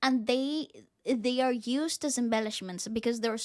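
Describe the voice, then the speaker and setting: Speaking at a moderate pace in a high pitch, a woman with a Spanish accent comes through in a very clean recording with a silent background. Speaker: musician reacting to music videos. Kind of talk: reaction video chat.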